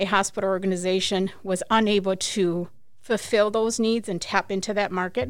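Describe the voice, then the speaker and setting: In a normal speaking voice, a woman with an American accent talks at a fairly quick pace and medium pitch, with ordinary pitch variation, on a very clean recording with a silent background. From US, Mexican American family. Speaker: physical therapist and clinic owner. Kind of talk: interview. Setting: studio.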